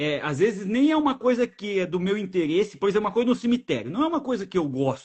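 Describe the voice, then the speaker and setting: Speaking at a very fast pace with hardly any pauses, a man uses a high pitch and very wide pitch swings. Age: 30s. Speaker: travel podcast host. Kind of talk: casual interview chat. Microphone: new microphone.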